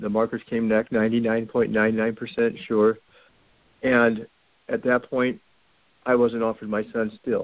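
At a very slow pace with long, frequent pauses, a man of medium pitch talks in a monotone, flat intonation. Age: 40s. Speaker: caller with a child custody case. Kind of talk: call-in question to a radio show. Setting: phone call. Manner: halting, repeating words.

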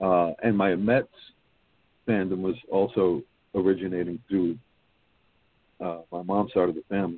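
Speaking with a New York accent, a man with a very deep, low pitch keeps fairly even intonation at a moderate pace, with long, frequent pauses. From Brooklyn, New York City. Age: 50s. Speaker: baseball history blogger. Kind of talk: casual chat.

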